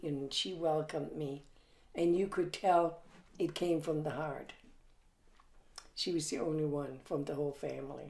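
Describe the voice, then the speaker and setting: A woman with a very deep, low pitch speaks at a fairly slow pace. Her intonation is fairly even, and audible room echo surrounds her voice. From Germany. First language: German. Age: 80s+. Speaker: grandmother recounting her life. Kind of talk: family interview. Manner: halting, with many fillers.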